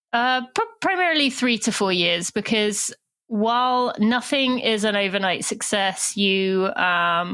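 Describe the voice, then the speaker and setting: A woman with a British accent, a fairly high pitch, lively intonation, very even loudness and a bright, sharp tone. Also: fairly slow pace. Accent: British accent, often taken for Australian. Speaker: podcast host. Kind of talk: interview podcast.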